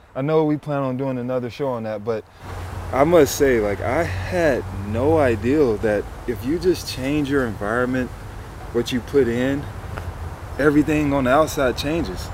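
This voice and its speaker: Over noticeable background noise, a man with a medium pitch and an American accent talks at a moderate pace, leaving long, frequent pauses. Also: ordinary pitch variation. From US South, Memphis. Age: 20s. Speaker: professional athlete and podcast co-host. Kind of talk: casual chat. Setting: in person, Pacific Palisades.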